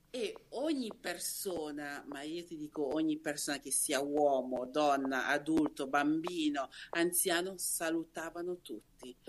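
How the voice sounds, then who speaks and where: A Lombard accent at a very slow pace. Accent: Varese. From Varese area, northern Italy (born in Nigeria, moved at nine). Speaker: Instagram creator, interview guest. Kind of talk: casual interview chat.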